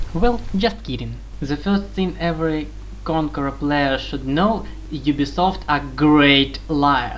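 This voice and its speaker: A woman with a non-native accent speaks at a fairly slow pace amid noticeable background noise and audible room echo. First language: not English. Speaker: video game guide maker. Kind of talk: tutorial.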